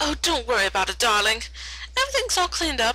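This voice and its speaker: Using a put-on character voice, a female-sounding voice rattles along at a very fast pace. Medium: read story. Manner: posh, theatrical.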